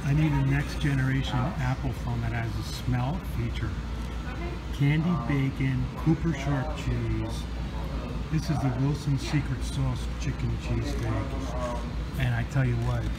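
Speech comes at a fairly slow pace beneath loud background noise. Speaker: food reviewer. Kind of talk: casual food review vlog. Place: cafe. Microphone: phone near.

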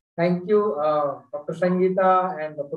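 A man with an Indian accent talks in a high pitch and fairly even intonation. The background is quiet, though room echo can be heard. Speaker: university teacher educator; host, moderator from partner university. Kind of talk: audience question and closing thanks. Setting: video call. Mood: warm, smiling. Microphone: video call.

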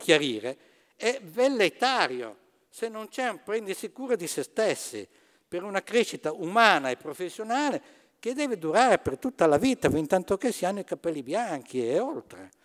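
Against a quiet background, a man speaks at a moderate pace. His high pitch makes very wide swings. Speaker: business economics professor. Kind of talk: lecture. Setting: theatre stage with audience. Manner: formal. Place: stage.

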